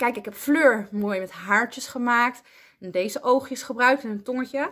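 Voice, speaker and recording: Bright and sharp in tone, a woman talks at a fairly quick pace over a quiet background. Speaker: primary school teacher. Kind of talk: tutorial for children. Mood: warm, friendly, encouraging. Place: classroom. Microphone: phone near.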